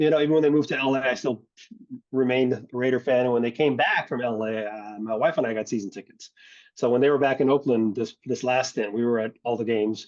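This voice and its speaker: A man with an American accent speaks very fast at medium pitch, his intonation fairly even. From US West Coast, San Francisco Bay Area. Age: 60s. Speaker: drum corps percussion arranger. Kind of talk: casual interview chat. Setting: podcast.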